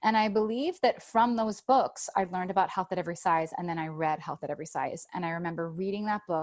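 A woman talks very fast with ordinary pitch variation against a quiet background. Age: 30s. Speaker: author. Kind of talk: casual chat.

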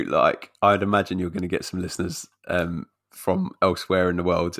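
A man's very deep, low voice in a London accent, at a moderate pace, in a very clean recording with a silent background. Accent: London-area English. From London area, England. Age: 30s. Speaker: podcaster guest. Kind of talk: casual interview chat. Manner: jokey, laughs often.

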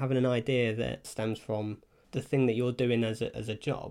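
A man with a medium pitch talks at a fairly quick pace in an unremarkable speaking voice. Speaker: podcast host. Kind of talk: casual chat. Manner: casual, chatty.

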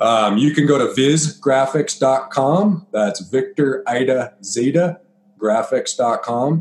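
This man has a normal speaking voice with an American accent. His pitch is medium and his intonation is lively. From eastern Colorado (Byers, east of Denver). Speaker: business owner of a 3D rendering agency. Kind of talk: casual interview.

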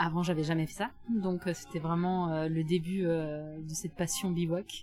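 Very slow speech over noticeable background noise. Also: woman. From southwest France, near Bordeaux. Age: 30s. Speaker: solo adventure traveller, former lawyer. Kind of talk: interview testimony. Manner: hesitant, many fillers. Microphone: mediocre sound quality from recording problem.

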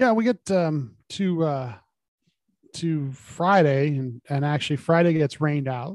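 Heard dry and close with no echo, a man with a plain, everyday voice speaks at a fairly high pitch with ordinary pitch variation. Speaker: podcast co-host and racing fan. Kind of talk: casual podcast analysis.

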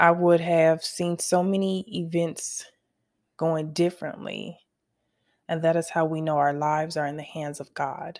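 A woman with an American accent speaks in a monotone, flat intonation at a fairly low pitch. The recording is very clean, with a silent background. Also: fairly slow pace. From US West Coast, Los Angeles. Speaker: author, designer and music artist. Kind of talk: personal testimony monologue.

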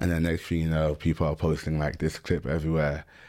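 A man speaks in a London accent at a very fast pace. His pitch is very deep and low. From London (Stratford, east London). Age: 20s. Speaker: American football player. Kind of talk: casual interview chat.

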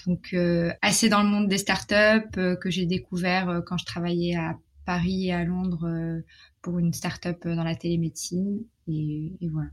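The recording is very clean and the background silent. A woman with a fairly low, somewhat breathy voice talks at a fairly slow pace with fairly even intonation. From Morocco. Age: 20s. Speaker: sex education advocate and entrepreneur. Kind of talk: interview conversation. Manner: hesitant, many fillers.

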